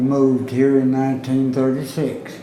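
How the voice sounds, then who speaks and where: Speaking at a fairly slow pace with a Southern US accent, a man with a medium-pitched voice is heard over noticeable background noise and audible room echo. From US South, Arkansas. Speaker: oral history interviewee. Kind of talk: oral history interview. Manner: casual.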